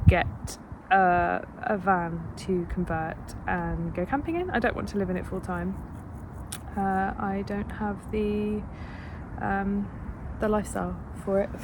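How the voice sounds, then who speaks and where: Quietly and at a fairly slow pace, a woman speaks with long, frequent pauses, with noticeable background noise and audible room echo. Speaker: PhD student vlogger. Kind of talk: casual vlog monologue. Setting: outdoors in a park. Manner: hesitant, many fillers.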